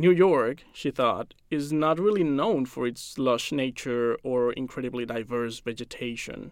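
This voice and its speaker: A man speaks at a medium pitch with ordinary pitch variation, at a fairly slow pace with hardly any pauses. The recording is very clean, with a silent background. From Mexico City. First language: Spanish. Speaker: science journalist. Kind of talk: scripted narration.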